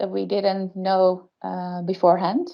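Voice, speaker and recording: A woman speaks with a Dutch accent at a medium pitch. Her pace is fairly slow. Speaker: case presenter, insurance innovation. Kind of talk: webinar case presentation. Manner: hesitant, many fillers.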